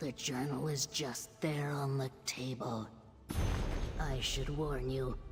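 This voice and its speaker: A put-on character voice moves at a fairly slow pace over clear background music. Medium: game stream. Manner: prim, stern, sharp-tongued.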